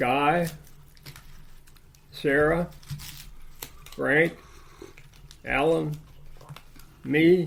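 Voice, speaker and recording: A man's voice over noticeable background noise. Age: 80s+. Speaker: family elder. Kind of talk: storytelling interview. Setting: deer camp cabin.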